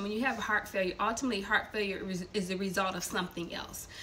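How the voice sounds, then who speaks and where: Fairly quick speech over light background noise. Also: woman. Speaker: storyteller sharing family testimony. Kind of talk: casual vlog chat. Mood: earnest, explaining. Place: kitchen. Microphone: phone near.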